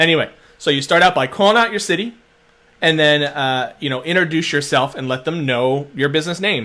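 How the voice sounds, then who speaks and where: An animated man with a Philadelphia accent. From Philadelphia, US. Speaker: social media marketer. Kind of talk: webinar-style tutorial. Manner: fast.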